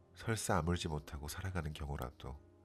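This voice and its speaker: At a moderate pace, a man speaks with a very deep, low pitch, vocal fry and ordinary pitch variation. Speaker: poetry reader, ASMR channel host. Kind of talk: poetry reading, sleep-aid ASMR.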